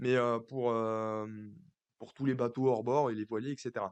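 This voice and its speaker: At a fairly slow pace, this man delivers his words. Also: quiet background. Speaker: finance youtuber. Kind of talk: stock analysis monologue. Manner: hesitant, many fillers.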